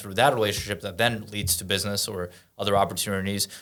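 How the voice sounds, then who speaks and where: Very fast and bright, sharp in tone, a man with a Russian accent speaks at a fairly low pitch in a very clean recording with a silent background. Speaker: entrepreneur and event host. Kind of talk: casual podcast interview.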